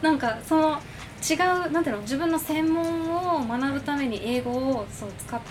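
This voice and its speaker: A woman's high pitch with ordinary variation at a moderate pace, amid audible room echo and noticeable background noise. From Okinawa, Japan (Ginowan). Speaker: English teacher and second language studies graduate. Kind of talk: casual interview chat.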